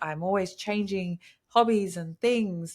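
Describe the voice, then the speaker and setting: A woman speaks at a moderate pace with an Australian accent, on a very clean recording with a silent background. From Australia, Queensland. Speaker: bodybuilder. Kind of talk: casual chat. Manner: animated.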